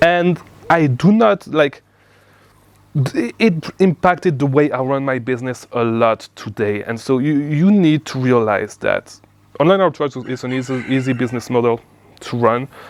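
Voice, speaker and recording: The man's pitch is medium and varies in an ordinary way. He keeps a moderate pace. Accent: non-native. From outside the US. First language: not English. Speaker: online business coach. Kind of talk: casual talk to camera. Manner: halting, many repeats.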